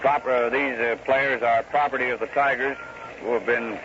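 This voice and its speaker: A man at medium pitch with an American accent, flat and monotone, over noticeable background noise. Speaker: radio baseball play-by-play announcer. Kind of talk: 1930s radio baseball play-by-play broadcast. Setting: old 1934 radio broadcast recording with telegraph machines audible in the background. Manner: calm, conversational, rhythmic pacing.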